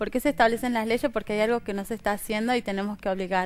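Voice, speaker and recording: A woman speaks in an ordinary speaking voice. Her pitch sits fairly high, with ordinary variation. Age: 30s. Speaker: interview guest. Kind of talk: interview. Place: studio. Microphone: headset.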